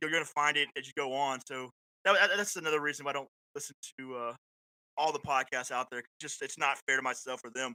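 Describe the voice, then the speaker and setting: Very fast speech with an American accent comes through a bright, sharp tone in a dry, close recording with no echo. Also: man, fairly high pitch for a man. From Florida panhandle (Panama City). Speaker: podcast host and paramedic, military veteran. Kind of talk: casual chat. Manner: animated.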